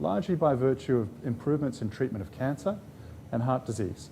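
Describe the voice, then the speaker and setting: A man's dark, mellow, somewhat breathy voice at a medium pitch, fairly quick pace, and lively intonation. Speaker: professor of medicine, rheumatologist. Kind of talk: public lecture. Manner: fast.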